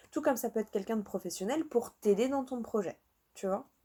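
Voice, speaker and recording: In a southern French accent, a woman speaks at a very fast pace, her fairly high voice carrying a dark, mellow tone. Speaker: tarot card reader. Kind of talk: tarot reading. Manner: casual, chatty.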